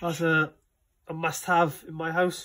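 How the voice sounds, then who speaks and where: Over a quiet background, a man with a Welsh accent and a high pitch talks at a very slow pace in a monotone, flat intonation. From Wales. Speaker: collector giving a room tour. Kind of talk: casual talk to camera. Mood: shy, friendly first video. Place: home room. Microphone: phone near.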